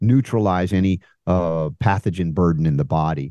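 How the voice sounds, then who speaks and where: With a dark, mellow tone and a very deep, low pitch, a man speaks in a dry, close sound with no echo over a quiet background. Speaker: alternative health guest. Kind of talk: interview discussion.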